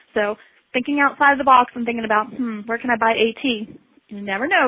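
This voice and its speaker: A woman with a slight Southern US accent, fairly high pitch, fairly even intonation and a very fast pace. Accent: slight Southern American. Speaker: assistive technology specialist. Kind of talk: webinar presentation. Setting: online webinar.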